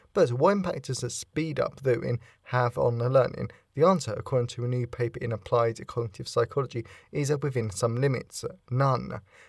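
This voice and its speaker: Speaking at a fairly quick pace, a man with medium pitch and ordinary pitch variation sounds somewhat breathy in a very clean recording with a silent background. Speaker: podcast host. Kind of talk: solo podcast monologue on psychology. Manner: fast talker.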